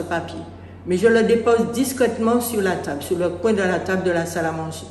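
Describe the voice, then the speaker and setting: Amid audible room echo and noticeable background noise, a woman speaks at a moderate pace with medium pitch and ordinary pitch variation. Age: 70s. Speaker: parishioner giving testimony. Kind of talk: testimony. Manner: halting.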